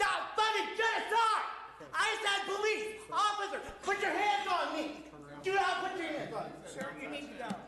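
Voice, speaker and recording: A man's raised, projected voice at an extremely high pitch and moderate pace, with audible room echo. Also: ordinary pitch variation. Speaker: protester at public comment. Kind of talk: public comment, protest. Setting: city council meeting. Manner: loud. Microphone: no microphone.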